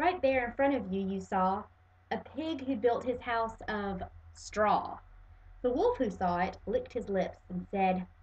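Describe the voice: Intonation here is lively. The delivery stays plain reading aloud.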